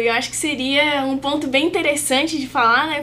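At a fairly quick pace, a woman talks in a high pitch amid noticeable background noise. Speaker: physiotherapy student. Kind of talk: casual chat.

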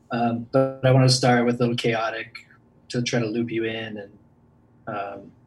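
A man at a medium pitch, somewhat breathy, moderate pace, with monotone, flat intonation. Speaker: contest finalist.

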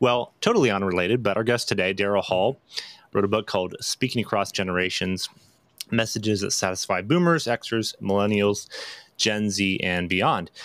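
Here is a man with an unremarkable speaking voice at a fairly low pitch. His loudness stays very even, with ordinary pitch variation. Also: moderate pace. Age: 30s. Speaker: podcast host. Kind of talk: casual interview.

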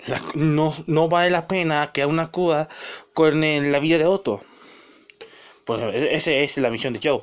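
A man talks at a fairly slow pace with a fairly high pitch. His tone is animated, with long, frequent pauses. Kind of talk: angry rant. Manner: indignant.

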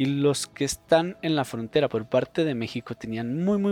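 The speech moves at a moderate pace with ordinary pitch variation, and the sound is dry and close with no echo. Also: man. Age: 20s. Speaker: podcast host. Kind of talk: solo opinion monologue. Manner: halting, many fillers.

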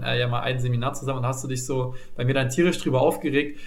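A man is speaking with music in the background. Audible room echo surrounds his voice. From Saxony, eastern Germany. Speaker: podcast host. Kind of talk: casual chat.

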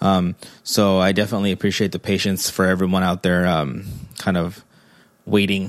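With a Spanish accent, a man speaks at a fairly quick pace in a very deep, low pitch and monotone, flat intonation. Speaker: podcast host, father. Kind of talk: solo monologue podcast. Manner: halting, many fillers.

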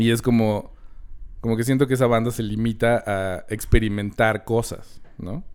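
A man's medium-pitched voice with a Mexican accent, fairly slow and fairly even in intonation. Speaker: film podcast host. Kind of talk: casual chat.

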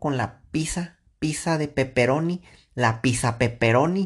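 Against a quiet background, a man with a Mexican accent talks at a fairly slow pace. His tone is animated, with ordinary pitch variation. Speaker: podcaster. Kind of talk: casual monologue. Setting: in bed at night.

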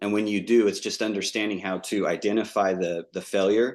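The speaker has an ordinary speaking voice with fairly even intonation and a fairly quick pace. The background is quiet. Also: man. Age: 30s. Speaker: entrepreneur, drilling company owner. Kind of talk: casual interview.

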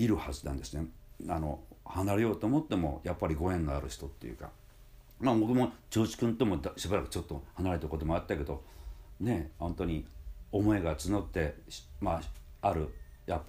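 Speaking fairly quickly yet with long, frequent pauses, a man with a very deep, low pitch and vocal fry uses lively intonation. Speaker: music school head and voice trainer. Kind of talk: casual monologue. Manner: relaxed, many filler pauses.

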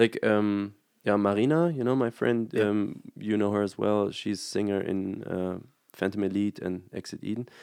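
A man with a German accent talks at a moderate pace. His pitch is fairly low, with ordinary variation. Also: quiet background. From Germany. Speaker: graphic designer and band musician. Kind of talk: casual chat, video interview.

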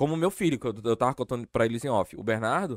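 The sound is dry and close, with no echo. In it, a man speaks fairly quickly. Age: 30s. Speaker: podcast host. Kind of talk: casual chat.

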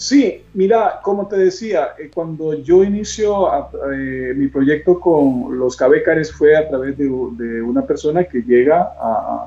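Lively in intonation, a man speaks at a very slow pace. Noticeable background noise is present. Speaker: hospital chaplain and bean seller. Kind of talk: interview on a live video stream. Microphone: unstable internet connection.

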